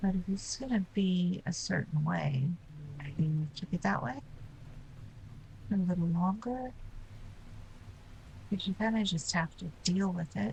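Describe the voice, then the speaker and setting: A woman mumbles in a fairly low pitch, somewhat breathy, with lively intonation at a fairly slow pace and long, frequent pauses. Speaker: game streamer. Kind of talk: live stream gameplay commentary. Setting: live stream. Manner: mumbling.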